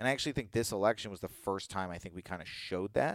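A man with an American accent speaks with lively intonation, the sound dry and close with no echo in a very clean recording with a silent background. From Virginia, US. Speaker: comedian. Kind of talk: casual chat. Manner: animated.

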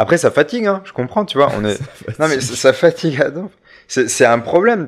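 Very wide pitch swings mark this man's fairly quick speech, caught in a very clean recording with a silent background. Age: 30s. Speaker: visual artist and art teacher. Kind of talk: casual chat. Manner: halting, many repetitions.

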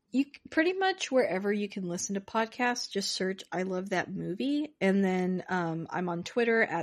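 A woman with an unremarkable speaking voice talks at a moderate pace and medium pitch, with ordinary pitch variation. The background is quiet. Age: 30s. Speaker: podcaster. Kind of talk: casual chat.

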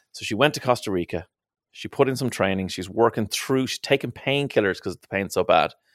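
A man with a Dublin accent at medium pitch, fairly quick in pace, with ordinary pitch variation and big swings in loudness, in a very clean recording with a silent background. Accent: Irish (Dublin). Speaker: radio presenter and podcast co-host. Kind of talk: casual chat; interview.

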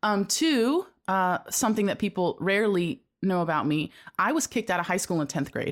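In a very clean recording with a silent background, a woman with an unremarkable speaking voice and medium pitch talks at a fairly quick pace, with lively intonation and very even loudness. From US, Cuban-American family. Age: 30s. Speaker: church creative staff leader. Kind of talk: casual chat.

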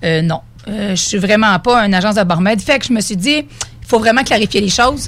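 Here is a woman with an ordinary speaking voice. Her pitch is medium and varies in an ordinary way. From Beauce, Quebec. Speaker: mobile cocktail bartender, entrepreneur. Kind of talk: radio interview. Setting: radio studio.

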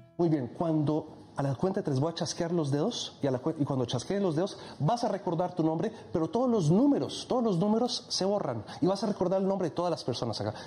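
Speaking at a fairly quick pace, a man with a high pitch keeps his loudness very even while his intonation stays lively over noticeable background noise. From Egypt. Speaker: hypnotist. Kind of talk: casual chat; hypnosis induction.

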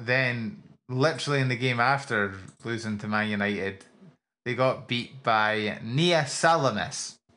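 Speaking in a Scottish accent, a man uses a bright, sharp tone, medium pitch, ordinary pitch variation and a moderate pace. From Scotland. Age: 20s. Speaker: esports podcast co-host. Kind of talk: casual chat.

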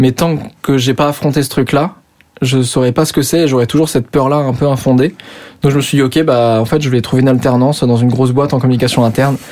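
Talking at a very fast pace, a man uses a medium pitch, a dark, mellow tone and fairly even intonation. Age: 20s. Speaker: youtuber. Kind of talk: casual interview. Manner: hesitant, many fillers.

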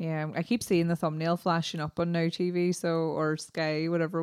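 Speaking with an Irish accent, a woman of fairly low pitch keeps a moderate pace and monotone, flat intonation. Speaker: podcast co-host. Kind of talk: casual chat.

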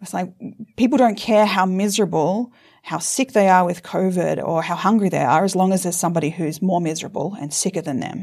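In a very clean recording with a silent background, a woman with an Australian accent talks at a fairly quick pace, her medium pitch showing ordinary variation. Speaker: law professor. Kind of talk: interview discussion.

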